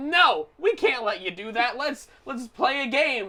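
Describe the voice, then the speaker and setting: Putting on a character voice, a woman speaks at a high pitch with very wide pitch swings and big swings in loudness. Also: fairly slow pace. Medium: read story.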